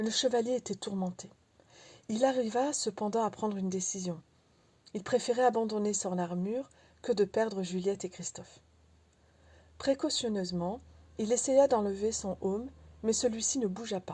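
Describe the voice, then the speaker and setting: A woman with a fairly high pitch speaks at a moderate pace, pausing long and often. Her voice is somewhat breathy and dark and mellow, with ordinary pitch variation, on a very clean recording with a silent background. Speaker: audiobook reader. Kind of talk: audiobook reading of a philosophical tale.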